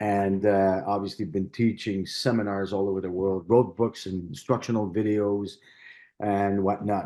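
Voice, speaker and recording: A dark, mellow tone comes with a French Canadian accent over a quiet background. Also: man. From Quebec, Canada (Montreal). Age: 60s. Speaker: martial artist and stunt performer. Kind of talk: interview. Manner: halting.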